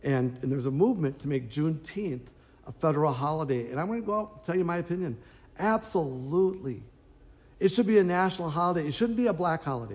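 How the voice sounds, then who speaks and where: With an American accent, a man talks at a very fast pace and a fairly high pitch, and audible room echo surrounds his voice. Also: lively intonation. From Minnesota. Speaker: pastor. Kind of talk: announcements and sermon. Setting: online church service.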